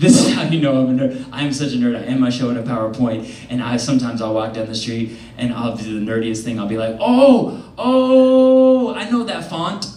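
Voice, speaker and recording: Noticeable background noise sits behind a man who talks with hardly any pauses. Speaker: comedian. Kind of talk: stand-up comedy set to an audience. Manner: energetic, playful, fast.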